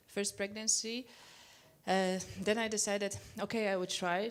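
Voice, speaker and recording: Speaking with a Polish accent, the woman has a medium pitch and keeps a moderate pace. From Poland. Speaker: Olympic speed skater. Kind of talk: panel discussion. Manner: halting.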